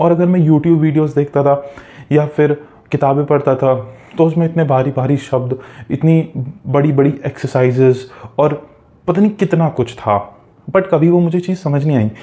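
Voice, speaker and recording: With a dark, mellow tone and very even loudness, a man speaks at a fairly high pitch with ordinary pitch variation and long, frequent pauses. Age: 20s. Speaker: self-help coach. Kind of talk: motivational talk.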